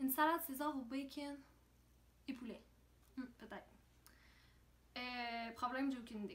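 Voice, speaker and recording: A woman speaks with a high pitch. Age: 20s. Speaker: reality show contestant. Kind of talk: casual chat. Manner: halting.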